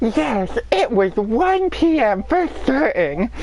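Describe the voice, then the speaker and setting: Putting on a high character voice, a man speaks very slowly over clear background noise. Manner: accusatory courtroom confrontation.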